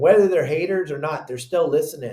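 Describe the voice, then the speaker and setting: Dark, mellow male voice, somewhat breathy, with fairly even intonation. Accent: American. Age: 60s. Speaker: fishing guide and content creator. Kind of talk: casual chat.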